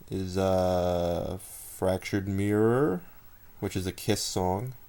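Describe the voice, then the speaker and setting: A soft-spoken, mumbling man with a very deep, low pitch, a dark, mellow tone and monotone, flat intonation, at a very slow pace. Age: 20s. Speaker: blogger and amateur writer. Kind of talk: casual vlog monologue. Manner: laid-back, mumbled enunciation.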